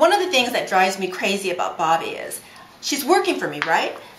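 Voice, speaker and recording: A woman talks at a fairly quick pace, her pitch swinging very widely. There is noticeable background noise and audible room echo. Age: 60s. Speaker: travel agent. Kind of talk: casual chat.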